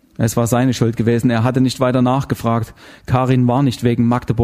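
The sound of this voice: The clip carries an unforced reading voice.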